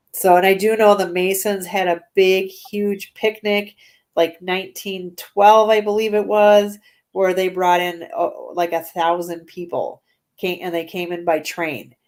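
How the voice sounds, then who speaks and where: A woman with a Minnesotan accent, medium pitch, monotone, flat intonation and a fairly slow pace. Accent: Minnesota. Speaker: paranormal investigator. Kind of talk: casual chat.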